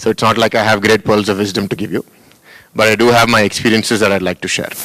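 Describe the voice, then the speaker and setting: With an Indian accent, a man speaks at a very fast pace in a fairly low pitch, his intonation monotone and flat. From India, Hyderabad. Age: 30s. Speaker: school founder and politician. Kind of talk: welcome address to students. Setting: auditorium with audience.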